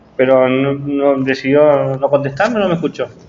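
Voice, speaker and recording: Audible room echo surrounds the voice. The delivery comes at a fairly slow pace. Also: man. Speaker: teacher-training lecturer. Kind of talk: lecture. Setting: classroom. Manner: soft-spoken.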